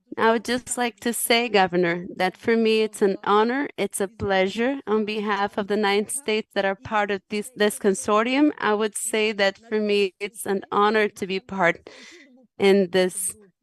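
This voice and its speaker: The speaker has a Portuguese accent and a fairly slow pace. The sound is dry and close, with no echo. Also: woman. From Cape Verde. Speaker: UN agency regional director. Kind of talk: formal panel speech. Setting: conference panel.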